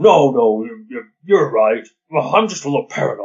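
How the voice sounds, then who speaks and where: A man's put-on character voice, fairly high in pitch, with big swings in loudness. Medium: read story. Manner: folksy, hesitant, stammering.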